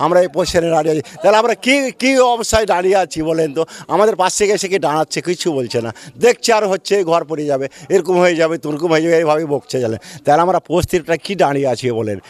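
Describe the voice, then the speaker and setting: Recorded dry and close with no echo, a man speaks in a high voice. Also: lively intonation. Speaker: villager affected by river erosion. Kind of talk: news interview.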